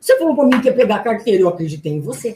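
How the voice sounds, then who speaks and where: A woman speaks with a somewhat breathy, dark and mellow tone at a fairly high pitch. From Brazil, interior of São Paulo state (Garça). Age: 50s. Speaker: relationship coach and speaker. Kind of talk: radio interview. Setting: radio studio, live.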